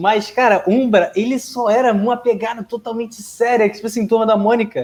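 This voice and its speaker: Moving at a fairly quick pace, a man speaks at a high pitch with monotone, flat intonation. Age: 20s. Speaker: comic fan guest. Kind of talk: casual chat.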